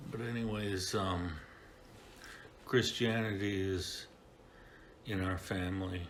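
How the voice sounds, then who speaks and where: In an American accent, a man speaks at a very slow pace with long, frequent pauses. His very deep, low pitch and fairly even intonation carry audible room echo. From US Midwest, Kenosha, Wisconsin. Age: 70s. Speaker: church member sharing life story. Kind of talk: testimony. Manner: halting, with fillers.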